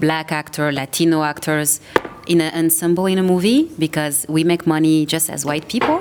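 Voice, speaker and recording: A woman's very deep, low voice with a French accent, flat monotone intonation and a fairly quick pace, over noticeable background noise. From France. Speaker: actor and producer. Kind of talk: panel discussion.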